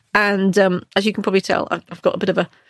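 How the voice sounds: A woman at a very fast pace, little pitch movement, in a dry, close sound with no echo. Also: medium pitch for a woman.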